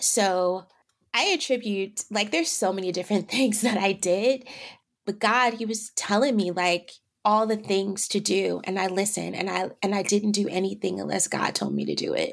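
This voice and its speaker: A woman talks at a moderate pace with medium pitch and fairly even intonation. Her voice has vocal fry. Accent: American. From San Francisco Bay Area, California. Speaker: actress and wellness advocate. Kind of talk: interview, personal story.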